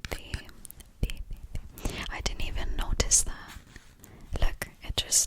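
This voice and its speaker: Someone whispers in a gentle tone at a very slow pace. Long, frequent pauses come through over noticeable background noise. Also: woman. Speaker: ASMR content creator. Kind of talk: ASMR haul video, whispered to camera. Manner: soft whispered, gentle.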